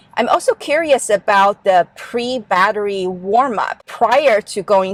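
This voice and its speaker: A woman with a Chinese accent talks at a fairly slow pace with hardly any pauses. Her fairly high voice has lively intonation, and the sound is dry and close with no echo. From Taiwan. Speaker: car owner vlogger. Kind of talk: vlog tutorial.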